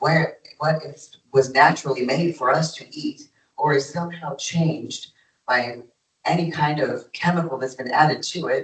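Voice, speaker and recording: A man speaks at a moderate pace with fairly even intonation. His voice is somewhat breathy and fairly high in pitch. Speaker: health speaker. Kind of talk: health talk to an audience.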